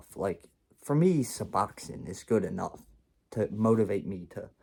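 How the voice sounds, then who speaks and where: A man talks at a fairly slow pace in a dark, mellow tone. The recording is very clean, the background silent. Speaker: vlogger telling his life story. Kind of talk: storytime monologue. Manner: rambling, casual.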